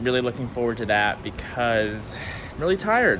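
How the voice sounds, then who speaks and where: Noticeable background noise and audible room echo surround a man speaking in a medium pitch. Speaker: travel vlogger. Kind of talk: casual vlog narration.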